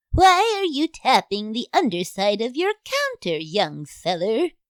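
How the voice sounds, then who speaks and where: A woman puts on a character voice, fairly high in pitch with very wide pitch swings. She speaks at a fairly slow pace. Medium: audio drama.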